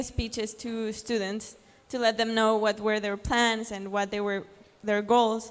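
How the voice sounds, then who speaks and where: A woman talks with a Spanish accent. Her pitch sits fairly high. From Mexico. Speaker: journalist and blogger. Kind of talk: conference talk. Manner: hesitant with fillers and restarts.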